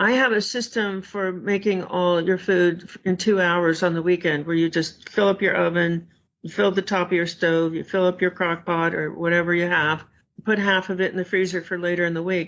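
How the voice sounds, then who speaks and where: With an unremarkable speaking voice, a woman talks at medium pitch and moderate pace, her intonation fairly even. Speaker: food addiction expert. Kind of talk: interview.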